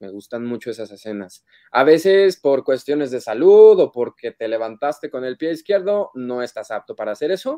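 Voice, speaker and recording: A man speaks with a dark, mellow tone, very wide pitch swings, and hardly any pauses, at a moderate pace. The sound is dry with no echo, over a quiet background. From Mexico City. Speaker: voice actor; voice actor guest. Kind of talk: interview; interview answer. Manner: halting. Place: home room. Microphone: video call.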